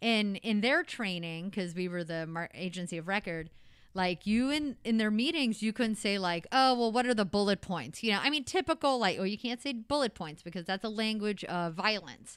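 A woman talks at a moderate pace with a medium pitch and lively intonation. The recording is very clean, with a silent background. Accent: American. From Missouri, US Midwest (Potosi). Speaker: restaurant owner and chef. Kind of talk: casual interview.

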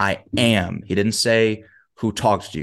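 Against a quiet background, a man with an unremarkable speaking voice talks fairly low and at a fairly slow pace. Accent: American. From US South, Huntsville, Alabama. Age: 20s. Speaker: motivational speaker and performance coach. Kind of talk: casual interview chat. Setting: video call.

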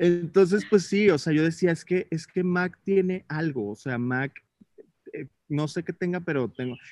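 This man has a high pitch with ordinary pitch variation and speaks at a fairly slow pace. The sound is dry and close, with no echo. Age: 20s. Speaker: makeup artist. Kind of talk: casual chat.

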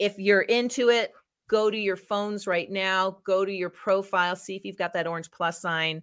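Her intonation fairly even and her loudness swinging widely, a woman speaks at a moderate pace and medium pitch. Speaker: LinkedIn expert. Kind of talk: webinar talk.

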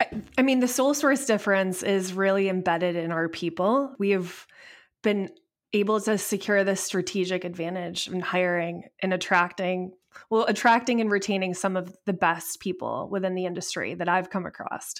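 A woman with an American accent has an ordinary speaking voice at a medium pitch, moderate pace and ordinary pitch variation, on a very clean recording with a silent background. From upstate New York. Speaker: solar company executive. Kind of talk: interview.

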